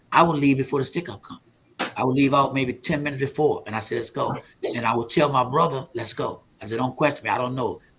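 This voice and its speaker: Fairly even in intonation, a man with a fairly high pitch talks at a very fast pace. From US South, Alexandria, Virginia. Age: 70s. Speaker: prophet and men's ministry leader. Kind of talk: testimony.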